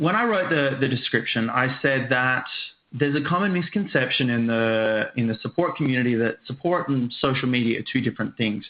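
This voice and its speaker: A man with an Australian accent speaks at a medium pitch with very even loudness against noticeable background noise. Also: ordinary pitch variation, fairly quick pace. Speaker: software trainer and author. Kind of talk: webinar presentation. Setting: online webcast with screen sharing.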